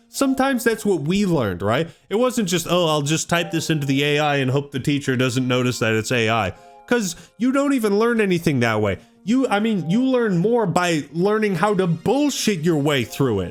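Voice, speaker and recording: An American accent at a moderate pace, with music in the background. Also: man, high pitch for a man. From US Pacific Northwest. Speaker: gaming youtuber. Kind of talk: rant. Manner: animated; stammering.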